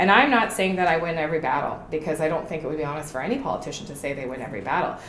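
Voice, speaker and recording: A woman with a Canadian accent talks very fast in a passionate tone, her very deep, low pitch swinging very widely. Noticeable background noise and audible room echo sit behind her. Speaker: political candidate. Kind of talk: interview.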